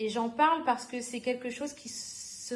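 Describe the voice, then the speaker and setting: Her pitch is high. The woman speaks fairly slowly, with fairly even intonation. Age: 30s. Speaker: youth worker trainee, former language teacher. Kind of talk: podcast interview.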